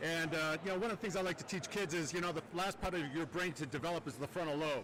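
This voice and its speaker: A man at a very fast pace with a high pitch, over noticeable background noise. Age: 60s. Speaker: pole vault official. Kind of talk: casual chat.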